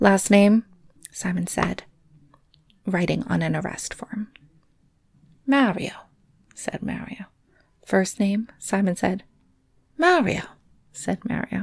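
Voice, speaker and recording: A woman's quiet, very slow whispering with vocal fry and long, frequent pauses. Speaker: storyteller reading a junior novel aloud. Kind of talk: read story. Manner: whispered, hushed.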